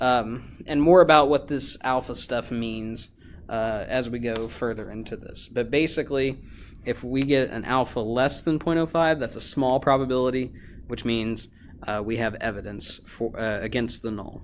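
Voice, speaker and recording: A man uses an ordinary speaking voice, medium in pitch and moderate in pace. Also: ordinary pitch variation. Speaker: high school teacher. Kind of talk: lecture. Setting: recorded video lesson. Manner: casual, many fillers.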